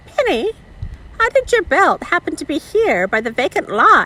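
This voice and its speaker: In a put-on character voice, a woman squeaks at an extremely high pitch with very wide pitch swings at a moderate pace. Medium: read story. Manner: slow, measured.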